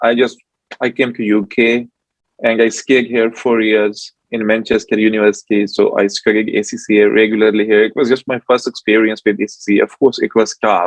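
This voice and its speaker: A man speaks at a fairly quick pace in a medium pitch, his intonation flat and monotone. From South Korea. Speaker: forensic auditor. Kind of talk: interview. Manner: halting, many fillers.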